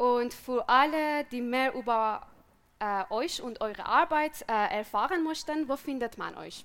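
A woman speaks at a very slow pace with a Persian accent. Her pitch is high and her intonation lively. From Iran. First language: Persian (speaking German). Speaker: podcast co-host. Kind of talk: live panel discussion. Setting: stage with audience outdoors.

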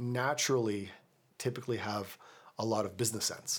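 A man with a Canadian accent talks at a fairly quick pace, medium pitch and ordinary pitch variation. It's an unremarkable speaking voice in a very clean recording, silent background. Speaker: real estate agent and podcast host. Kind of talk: casual panel discussion. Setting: on location, background noise.

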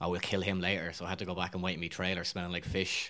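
A man's very deep, low voice in an Irish accent, bright and sharp in tone, at a very fast pace, on a very clean recording with a silent background. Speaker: actor. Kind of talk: casual interview. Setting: studio.

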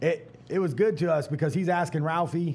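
A man speaks at a very fast pace in an animated tone. His voice is somewhat breathy. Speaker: stand-up comedian. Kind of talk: panel discussion. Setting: stage with audience.

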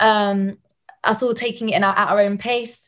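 Against a quiet background, a woman with a southern English accent speaks with fairly even intonation. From Portsmouth, England. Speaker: student composer. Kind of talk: panel discussion. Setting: video call.

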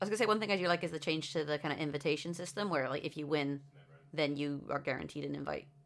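A woman's very deep, low voice with vocal fry, ordinary pitch variation and a very fast pace. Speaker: co-host. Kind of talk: casual chat about a game.

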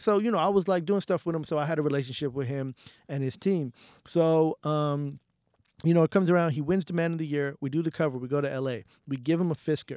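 A man with a New York accent, fairly high in pitch with ordinary variation, at a very fast pace on a very clean, dry, close recording with a silent background and no echo. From New York City, the Bronx. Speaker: music journalist and editor. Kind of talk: casual interview.

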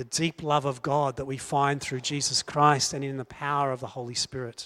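A man with an Australian accent talks at a moderate pace in a fairly high voice with a bright, sharp tone, on a very clean recording with a silent background. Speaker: preacher. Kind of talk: sermon.

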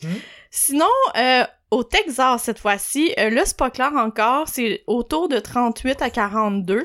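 On a very clean recording with a silent background, a woman with a Quebec accent speaks at a very slow pace in a high pitch with lively intonation. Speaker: podcast co-host. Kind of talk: casual chat.

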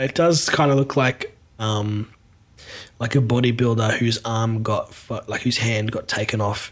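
An ordinary speaking voice, this man talks at a medium pitch with fairly even intonation. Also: fairly slow pace. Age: 30s. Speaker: podcast host and band member. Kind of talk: comedic casual chat.

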